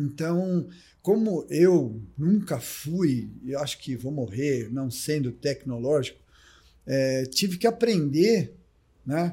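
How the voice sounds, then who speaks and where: A man speaks with a fairly high pitch and a dark, mellow tone that is somewhat breathy. His delivery is very slow, with lively intonation. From Brazil, São Paulo state (Ribeirão Preto). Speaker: triathlon coach. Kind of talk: casual chat.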